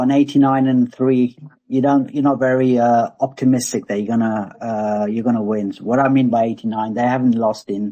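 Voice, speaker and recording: With an English accent, a man talks at a moderate pace and medium pitch in a dark, mellow tone. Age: 50s. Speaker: crypto growth accelerator founder. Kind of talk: casual panel discussion.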